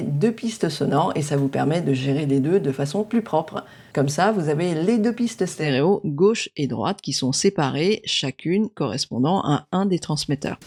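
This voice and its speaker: A woman with a very deep, low voice talks at a moderate pace with lively intonation and hardly any pauses, on a very clean recording with a silent background. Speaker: tech youtuber. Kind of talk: product review. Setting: at home. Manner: soft-spoken.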